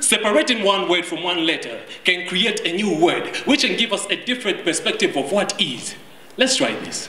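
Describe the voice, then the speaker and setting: A man speaks at a high pitch and moderate pace with an animated, dramatic tone. Noticeable background noise runs beneath him. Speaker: slam poet. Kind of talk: slam poetry performance. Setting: stage with audience. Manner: animated, rhythmic spoken-word delivery with wordplay and dramatic emphasis. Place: garden.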